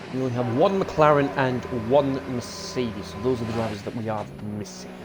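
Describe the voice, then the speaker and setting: A man with a British accent speaks at a medium pitch and a fairly quick pace, his intonation lively and his loudness swinging widely. Audible room echo and noticeable background noise surround him. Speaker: sim racing commentator. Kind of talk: live commentary. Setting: live stream.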